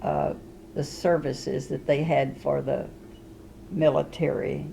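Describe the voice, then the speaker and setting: A woman with a Southern US accent amid noticeable background noise. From Arkansas. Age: 80s+. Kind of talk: interview answer. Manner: hesitant, halting.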